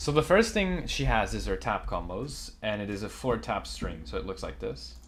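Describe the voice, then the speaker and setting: A man mumbling at a moderate pace. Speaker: gaming YouTuber. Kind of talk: game guide commentary.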